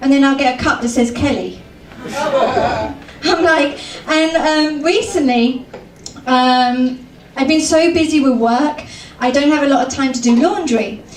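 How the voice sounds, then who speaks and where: A woman with a British accent talks at a fairly slow pace in a high voice, with ordinary pitch variation and very even loudness. There is audible room echo and noticeable background noise. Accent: British accent, mistaken for Australian. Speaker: comedian. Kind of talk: stand-up. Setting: stage with audience.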